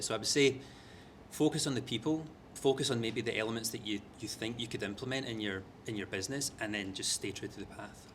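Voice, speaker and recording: A man talks at a very fast pace. His intonation is fairly even. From Scotland, Glasgow. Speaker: media executive. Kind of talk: panel interview.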